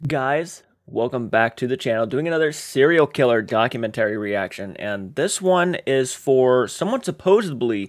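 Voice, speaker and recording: A man speaks at a moderate pace with hardly any pauses. The background is quiet. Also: lively intonation. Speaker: reaction channel host. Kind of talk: casual vlog chat. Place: home room.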